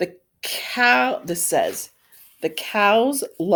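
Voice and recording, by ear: Someone is reading aloud in a natural voice, with lively intonation over a quiet background.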